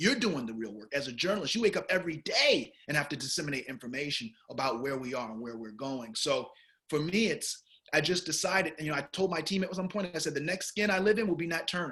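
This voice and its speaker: Speaking very fast with an American accent, a man uses lively intonation and a fairly high pitch. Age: 40s. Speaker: film director. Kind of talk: interview.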